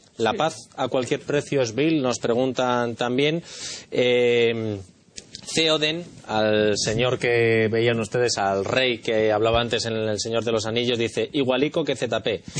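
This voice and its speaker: Over noticeable background noise, a man of medium pitch speaks at a very slow pace with very even loudness and fairly even intonation. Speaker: talk show host. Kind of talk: panel discussion.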